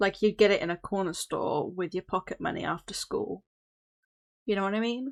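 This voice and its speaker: A woman talks with a British accent. The sound is dry and close, with no echo. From Britain. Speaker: streamer. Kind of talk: casual chat. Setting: live stream. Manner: casual, hesitant with fillers.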